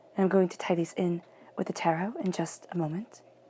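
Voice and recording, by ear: A woman at a fairly quick pace, fairly even in intonation, with a slightly husky edge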